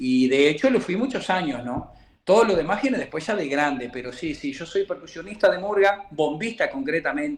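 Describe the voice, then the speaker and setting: A high-pitched male voice at a moderate pace, with very wide pitch swings. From Uruguay, Montevideo. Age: 60s. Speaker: murga percussionist. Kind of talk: interview. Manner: halting.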